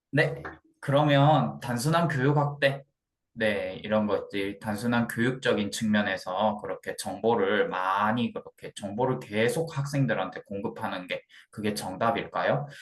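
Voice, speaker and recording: A man with a medium-pitched voice speaks at a fairly slow pace with lively intonation. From Gyeongsang region, South Korea. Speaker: student presenter. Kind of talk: class presentation. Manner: halting, with frequent repetitions.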